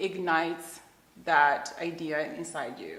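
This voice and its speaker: A woman speaks with a Zimbabwean accent. Room echo is audible. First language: Shona. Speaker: children's book author. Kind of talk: interview.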